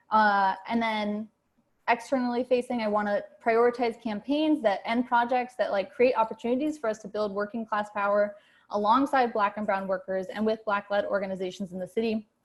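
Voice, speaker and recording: Woman's fairly high, somewhat breathy voice, fairly quick in pace, with fairly even intonation. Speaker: candidate for chapter co-chair. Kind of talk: campaign speech. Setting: video call. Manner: fast; many fillers, halting.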